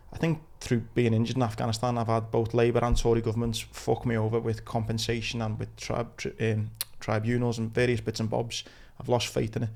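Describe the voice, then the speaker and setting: A man with a Liverpool accent speaks at a fairly quick pace and medium pitch, in a monotone, flat intonation. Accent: Scouse (Liverpool). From Liverpool, England. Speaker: podcast host, injured war veteran. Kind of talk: casual interview chat.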